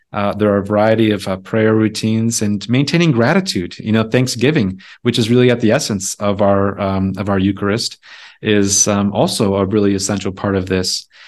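A man with an American accent and an ordinary speaking voice talks at a fairly quick pace in a fairly low pitch, with fairly even intonation over a quiet background. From rural Wisconsin. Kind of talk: casual interview.

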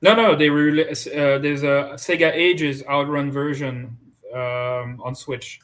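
A man with a French accent speaks at a fairly slow pace, his pitch fairly high and its variation ordinary. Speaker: podcast host. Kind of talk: casual chat.

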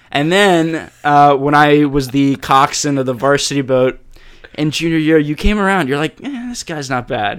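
At a moderate pace, a man with an American accent talks in a fairly high pitch with ordinary pitch variation. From Jacksonville, Florida. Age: 20s. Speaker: university student. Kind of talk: casual chat. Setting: studio with mics. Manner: loud, rowdy.

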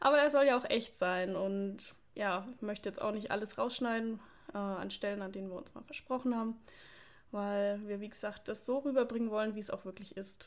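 A woman speaks at a moderate pace and a fairly high pitch with ordinary pitch variation. Her loudness swings widely, and she takes long, frequent pauses. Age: 20s. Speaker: podcast co-host, police officer and online fitness coach. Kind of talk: casual chat.

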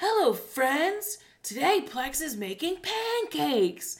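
Someone puts on a character voice with a high pitch and very wide pitch swings, speaking at a fairly slow pace. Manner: cheery, mock-friendly.

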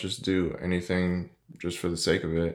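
A soft-spoken man talks fairly slowly at a very deep, low pitch. The recording is very clean with a silent background. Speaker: podcast host. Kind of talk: solo podcast monologue, motivational talk. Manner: formerly monotone and soft-spoken, now working to be more dynamic.

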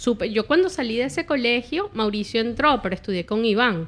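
A woman with a Caracas accent talks at a fairly quick pace with a fairly high pitch. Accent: Venezuelan Spanish (Caracas). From Venezuela, Caracas. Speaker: YouTuber. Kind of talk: casual chat.

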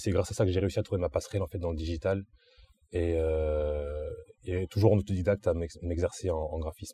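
A man speaks with a very deep, low pitch and a dark, mellow tone that is somewhat breathy. His pace is fairly quick and his intonation fairly even. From southern France, Antibes. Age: 20s. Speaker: graphic artist. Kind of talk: interview. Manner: hesitant with fillers.

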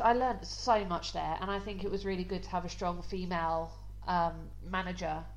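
A woman talks at a fairly quick pace. Noticeable background noise and audible room echo are present. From Essex, England. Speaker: podcast co-host. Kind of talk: casual chat.

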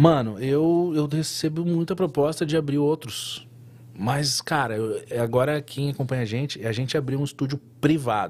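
At a moderate pace, a man with a somewhat breathy, fairly high voice speaks with ordinary pitch variation. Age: 30s. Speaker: tattoo artist. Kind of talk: casual interview chat.

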